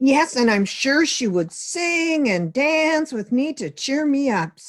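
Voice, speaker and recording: A high, fairly slow put-on character voice from a woman. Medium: read story.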